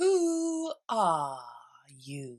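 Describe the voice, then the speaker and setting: A female-sounding voice, fairly high in pitch, speaks in a put-on character voice. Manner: languid and sleepy.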